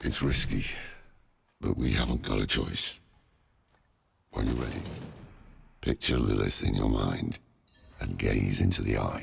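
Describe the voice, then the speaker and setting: Using a put-on character voice, a man speaks with a weary tone, a very deep, low pitch and long, frequent pauses. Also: moderate pace. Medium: video game. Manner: gruff, world-weary.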